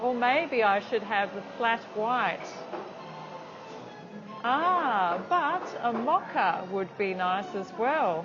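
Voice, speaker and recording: A woman with an Australian accent and a fairly high pitch talks at a very slow pace, her pitch swinging very widely. Long, frequent pauses break up her speech, and music plays in the background. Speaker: English teacher. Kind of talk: English lesson vlog to camera. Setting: cafe.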